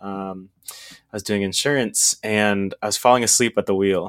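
A man with an American accent speaks in an ordinary speaking voice at a fairly low pitch and a moderate pace. His intonation is fairly even, and the sound is dry and close with no echo. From Texas. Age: 20s. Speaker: e-commerce entrepreneur. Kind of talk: casual interview.

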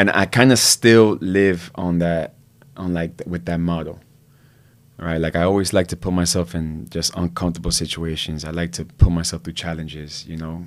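Spoken at a moderate pace with fairly even intonation and an American accent, this very clean recording has a silent background. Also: man, very deep, low pitch for a man. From Miami, Florida (Hialeah). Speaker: former gangster turned entrepreneur and actor. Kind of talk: casual interview.

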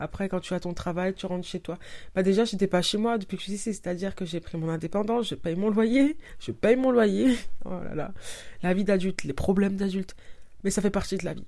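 Her tone is dark and mellow, and her pitch is medium with ordinary variation. The woman speaks at a fairly quick pace. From France, Paris. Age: 30s. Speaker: podcaster. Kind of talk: casual monologue.

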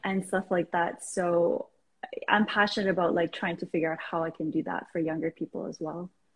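A woman speaks in an ordinary speaking voice at a fairly quick pace, with a fairly low pitch and fairly even intonation. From Iran, raised in Canada. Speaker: life coach. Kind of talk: casual interview. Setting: video call.

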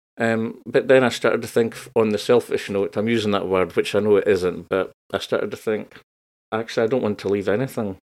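A man talks at a fairly quick pace with a strong northeast Scottish accent. The recording is very clean, with a silent background. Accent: northeast Scottish (Doric), broad. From northeast Scotland. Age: 40s. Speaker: creative coach. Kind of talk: casual interview chat.

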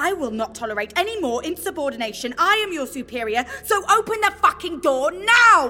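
In a put-on character voice, a woman speaks at a high pitch with big pitch swings. Her tone is bright and sharp, and she moves at a fairly quick pace.

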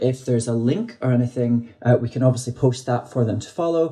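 Talking at a fairly quick pace, a man with a Scottish accent uses a medium pitch and ordinary pitch variation. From Scotland. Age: 30s. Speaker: drag queen podcast host. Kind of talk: interview conversation.

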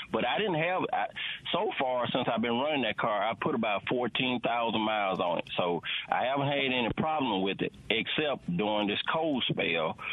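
A man with a Southern US accent talks at a moderate pace and a medium pitch. His loudness stays very even despite noticeable background noise. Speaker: caller. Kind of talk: call-in question. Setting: phone call.

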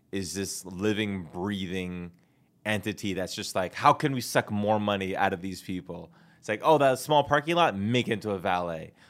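A man talks in a normal speaking voice at a moderate pace. His fairly low pitch carries ordinary pitch variation. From Canada. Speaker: comedian and actor. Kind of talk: casual chat. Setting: studio.

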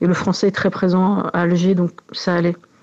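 Speaking at a moderate pace, a woman has a fairly low pitch, a dark, mellow tone and monotone, flat intonation. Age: 40s. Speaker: interviewee. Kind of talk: testimony.

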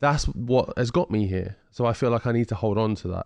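The background stays quiet. A man delivers his words fairly quickly, his intonation fairly even. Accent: southern English. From England, Ipswich (Suffolk). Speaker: heavyweight boxer. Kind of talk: casual interview. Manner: articulate, well-spoken.

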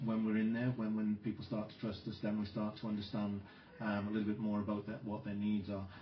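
In a South Welsh accent, a man speaks in a fairly low, monotone, flat voice amid noticeable background noise and audible room echo. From Wales, South Wales mining community. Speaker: nursing professor and researcher. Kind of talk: interview conversation. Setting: conference venue, out in the wild.

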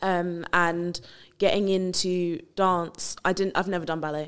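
A woman with a fairly low pitch speaks fairly slowly in a flat monotone, in a very clean recording with a silent background. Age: 20s. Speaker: dance graduate. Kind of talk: casual discussion.

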